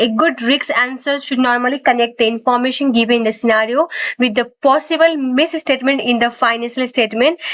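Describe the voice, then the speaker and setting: A woman's high-pitched voice at a fairly quick pace, hardly any pauses, fairly even intonation and very even loudness, over noticeable background noise. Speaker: accounting exam tutor. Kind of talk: lecture.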